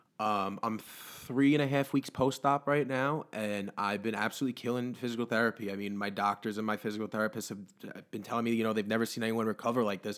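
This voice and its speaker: A man's medium-pitched voice at a very fast pace, intonation fairly even. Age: 20s. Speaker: weight loss story guest. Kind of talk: casual interview.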